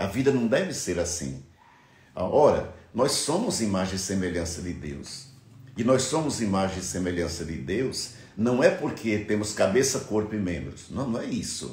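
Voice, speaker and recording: This man has a fairly low, somewhat breathy voice with very wide pitch swings. He speaks at a fairly slow pace, and the room echo is audible. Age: 60s. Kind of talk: reflective monologue. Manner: halting.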